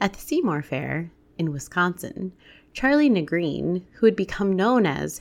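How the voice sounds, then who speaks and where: With an American accent, a woman speaks at a moderate pace and medium pitch, her intonation lively and her voice showing vocal fry. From US Midwest. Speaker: podcast host. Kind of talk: casual interview; scripted narration.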